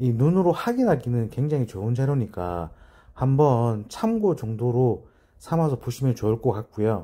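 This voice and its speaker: Lively intonation shapes a somewhat breathy voice with a dark, mellow tone and a Busan accent. The recording is very clean, with a silent background. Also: man, medium pitch for a man. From Busan, South Korea. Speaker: real estate agent. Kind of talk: explainer video. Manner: deliberate, careful enunciation.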